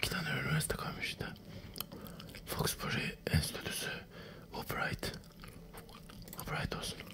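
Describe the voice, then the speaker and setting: The speaker is a man. He whispers at a moderate pace. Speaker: gamer. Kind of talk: casual gaming commentary. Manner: whispered, ASMR-style. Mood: joking, mildly exasperated.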